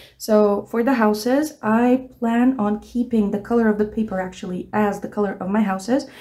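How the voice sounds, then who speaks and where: This woman has a fairly high pitch and a dark, mellow tone. She speaks with a non-native accent. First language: not English. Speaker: art tutor. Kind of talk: tutorial. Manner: casual, hesitant.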